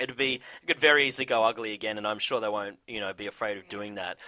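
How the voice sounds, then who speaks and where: Recorded very cleanly against a silent background, a man with an Australian accent speaks at a medium pitch in a bright, sharp tone. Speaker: TV recap show host. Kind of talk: casual chat. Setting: studio.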